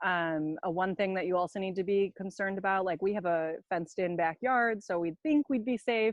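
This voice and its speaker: A woman's medium-pitched voice at a fairly quick pace, with ordinary pitch variation and hardly any pauses. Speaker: summer camp alum hosting chicken-keeping talk. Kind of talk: casual online tutorial chat. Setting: outdoors in backyard. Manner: loud.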